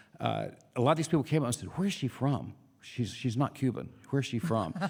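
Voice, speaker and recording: Speaking at a very fast pace, a man with an American accent shows vocal fry. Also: medium pitch for a man, lively intonation. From US South. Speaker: radio host and bandleader. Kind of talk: casual interview chat. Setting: radio studio.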